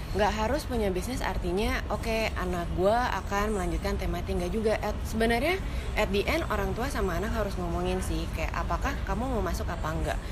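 Over noticeable background noise and audible room echo, a woman talks at a very fast pace with hardly any pauses. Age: 20s. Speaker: entrepreneur, former accountant. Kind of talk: casual chat. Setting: cafe.

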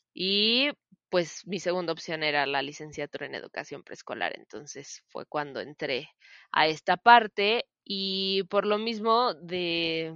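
A woman's fairly low voice with a central Mexican accent, a very slow pace and big swings in loudness. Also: lively intonation. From Mexico, Celaya, Guanajuato. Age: 20s. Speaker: podcast co-host, preschool teacher. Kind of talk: casual chat.

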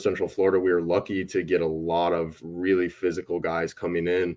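Monotone, flat intonation runs through the speech. The speaker talks at a moderate pace with an American accent. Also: man. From Wisconsin, US Midwest. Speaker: baseball hitting coach. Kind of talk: casual interview.

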